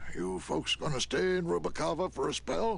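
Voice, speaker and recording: Using a put-on character voice at medium pitch, a man speaks over clear background noise. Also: moderate pace. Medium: video game. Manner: folksy, drawling.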